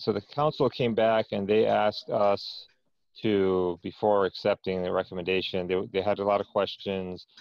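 A man talks at a moderate pace with a fairly low pitch and fairly even intonation, the sound dry with no echo. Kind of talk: meeting report. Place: home room. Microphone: earbuds.

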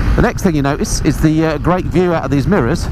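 A man talking at a very fast pace, dry sound with no echo, over noticeable background noise. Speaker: motorcycle vlogger reviewer. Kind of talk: casual review commentary while riding. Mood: upbeat, enthusiastic. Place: motorbike. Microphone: helmet.

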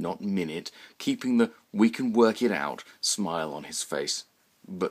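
This is plain reading aloud.

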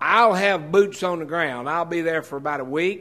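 The background stays quiet while a man talks. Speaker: preacher or pastor. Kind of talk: sermon. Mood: earnest, announcing an event. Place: church. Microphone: podium.

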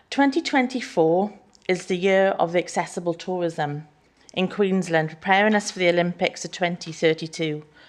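A woman's fairly low voice in a Welsh accent, with ordinary pitch variation and a moderate pace. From Wales. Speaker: small business owner. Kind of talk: public address to council. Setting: council chamber, live streamed.

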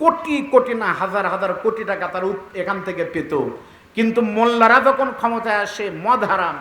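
Raising and projecting his high-pitched voice, a man speaks with ordinary pitch variation over noticeable background noise. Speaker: Islamic preacher (waz speaker). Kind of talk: Bangla waz sermon to a crowd. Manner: oratorical, rhetorical, emphatic.

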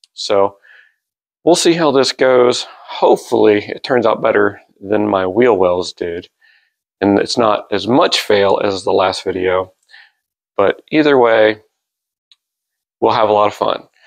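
Against a quiet background, a man with a fairly low pitch and ordinary pitch variation speaks at a fairly slow pace, with long, frequent pauses. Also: dry sound with no echo. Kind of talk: casual vlog chat. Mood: light, self-deprecating humor. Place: garage.

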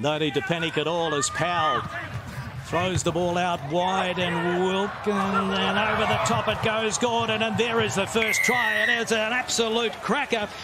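Over noticeable background noise, a man with a high pitch talks in a raised, projected, animated voice at a moderate pace, his loudness very even and his pitch varying in an ordinary way. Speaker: sports commentator. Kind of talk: live rugby match commentary over highlights. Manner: animated, rising on tries.

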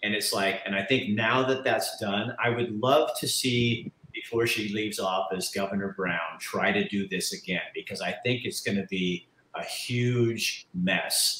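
A man with an American accent speaks with lively intonation. Light background noise and audible room echo can be heard. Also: fairly slow pace. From Oregon. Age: 60s. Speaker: talk show host. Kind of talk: casual interview. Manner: animated. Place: home room. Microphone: webcam.

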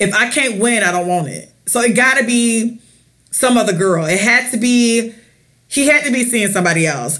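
With an American accent, a woman speaks at a moderate pace in an animated, bright, sharp tone. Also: fairly high pitch for a woman. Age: 30s. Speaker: podcast co-host. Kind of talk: casual chat.

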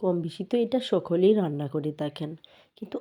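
A woman's dark, mellow tone shows ordinary pitch variation over a quiet background. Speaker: cooking vlogger. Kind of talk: cooking tutorial.

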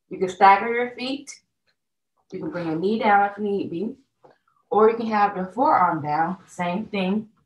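Audible room echo surrounds a woman who speaks with long, frequent pauses. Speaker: fitness instructor. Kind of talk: tutorial. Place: home room. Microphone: camera far.

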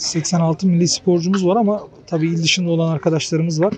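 Over light background noise, a man speaks at a moderate pace in a high pitch with fairly even intonation, the sound dry with no echo. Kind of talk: interview answer. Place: open country. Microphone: handheld.

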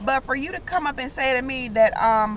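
A woman with a high pitch speaks with lively intonation. Her pace is moderate, with faint background noise.

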